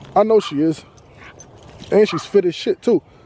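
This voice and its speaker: A man with a dark, mellow tone speaks at a moderate pace in a dry sound with no echo, with light background noise. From Boston, US. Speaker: dog owner vlogger. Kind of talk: casual vlog monologue. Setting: outdoors walking dog. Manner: halting, many fillers. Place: open country. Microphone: phone near.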